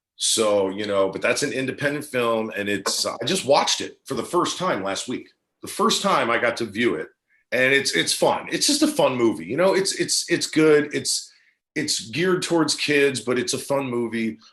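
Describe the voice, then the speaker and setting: A man with an American accent talks at a moderate pace in a fairly high pitch. His is an ordinary speaking voice. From New Jersey. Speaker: actor. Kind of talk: casual interview.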